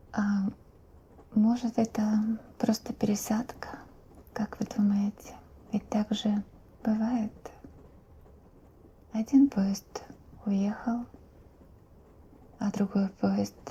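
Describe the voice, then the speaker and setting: Soft-spoken and fairly high-pitched, a woman talks very slowly in a flat monotone with long, frequent pauses, over noticeable background noise. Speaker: ASMR creator. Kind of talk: ASMR roleplay.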